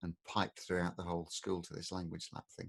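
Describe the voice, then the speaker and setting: In an English accent, a man speaks at a very deep, low pitch, the sound dry and close with no echo. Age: 60s. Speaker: podcast co-host, father. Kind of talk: casual chat. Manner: animated.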